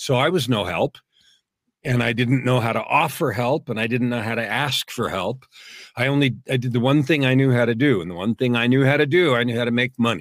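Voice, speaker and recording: A man with an American accent talks at a fairly quick pace in an ordinary speaking voice, his pitch medium and its variation ordinary. The recording is very clean, with a silent background. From California, US. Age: 60s. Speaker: author and guest. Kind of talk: interview conversation.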